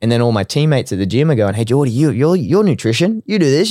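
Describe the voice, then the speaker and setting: A man with an Australian accent talks at a very fast pace in a fairly high pitch, his dark, mellow tone swinging very widely in pitch, captured dry and close with no echo on a very clean recording against a silent background. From Australia, Brisbane. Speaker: sports dietitian. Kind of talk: casual interview.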